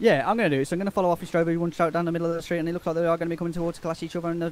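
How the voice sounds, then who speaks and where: Over noticeable background noise, a man with a high voice talks very fast in a monotone, flat intonation. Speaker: esports commentator. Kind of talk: live commentary. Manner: fast, play-by-play horse racing style.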